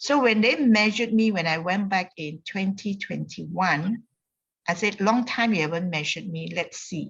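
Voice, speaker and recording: Ordinary pitch variation and a moderate pace in a somewhat breathy voice. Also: woman, medium pitch for a woman. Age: 60s. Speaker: wellness community member. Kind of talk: testimony. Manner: energetic.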